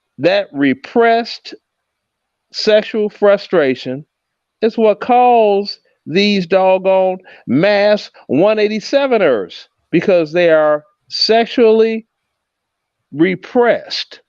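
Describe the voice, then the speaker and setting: In a dry, close recording with no echo, a man with an American accent speaks at a very slow pace in a high pitch, using lively intonation and long, frequent pauses. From Chicago, US Midwest. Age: 60s. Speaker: livestream host. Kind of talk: heated debate. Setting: livestream.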